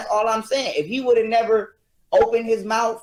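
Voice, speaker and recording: High in pitch, the man's speech moves through ordinary pitch variation. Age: 20s. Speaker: podcast guest, livestream personality. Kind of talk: heated debate. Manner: animated.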